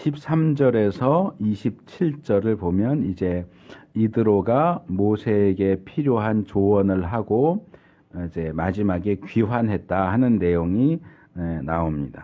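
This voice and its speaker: The pace is very slow. The intonation is lively. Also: man, fairly low pitch for a man. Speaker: pastor. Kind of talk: sermon.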